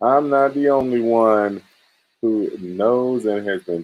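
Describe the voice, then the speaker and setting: Medium-pitched male voice, pitch variation ordinary. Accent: Southern. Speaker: cryptocurrency livestream host.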